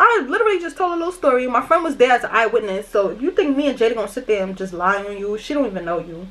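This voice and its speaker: An animated, very fast delivery in a New York accent over noticeable background noise. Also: woman. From New York, Brooklyn. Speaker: YouTuber. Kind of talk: storytime vlog while doing makeup. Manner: aggressive-sounding.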